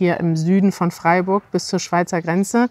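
A woman talks at a moderate pace. The sound is dry, with no echo. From Northern Germany. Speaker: language video host. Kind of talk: interview questions to guest. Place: garden. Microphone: lapel.

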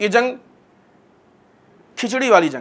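A man speaks slowly in a high, fairly bright voice with a slightly husky edge and big pitch swings.

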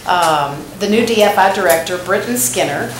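A woman at a medium pitch, with audible room echo and noticeable background noise. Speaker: downtown development director. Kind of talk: public meeting remarks. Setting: city commission meeting, table microphone.

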